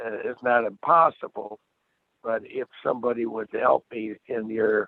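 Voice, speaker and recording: A man speaking at a very slow pace. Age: 80s+. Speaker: property owner appealing assessment, realtor. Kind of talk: public hearing testimony.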